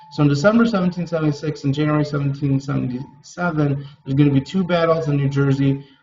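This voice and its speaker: Over background music, a man talks at a fairly quick pace, his pitch fairly high with ordinary variation. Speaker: middle school teacher. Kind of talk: recorded class lecture. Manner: fast.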